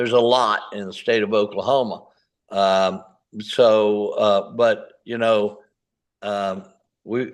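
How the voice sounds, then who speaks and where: Speaking at a very slow pace with long, frequent pauses, a man keeps a fairly low pitch and fairly even intonation. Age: 70s. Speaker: firearms instructor. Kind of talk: casual chat. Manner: halting.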